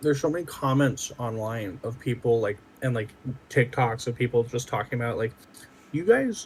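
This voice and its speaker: His pitch sits at a medium level, varying in an ordinary way. The man's somewhat breathy voice moves at a moderate pace. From US South, New Orleans, Louisiana. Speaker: podcast co-host. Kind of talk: casual chat.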